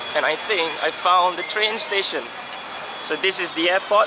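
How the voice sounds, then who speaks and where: Noticeable background noise runs under the recording. A man with a high pitch talks at a fairly slow pace. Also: dry sound with no echo. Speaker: travel vlogger. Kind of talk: casual vlog chat. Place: street. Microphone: phone near.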